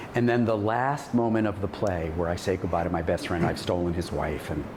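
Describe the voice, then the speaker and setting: A man talks at a fairly quick pace with a very deep, low pitch. Noticeable background noise runs underneath. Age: 70s. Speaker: actor and acting teacher. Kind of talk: casual chat.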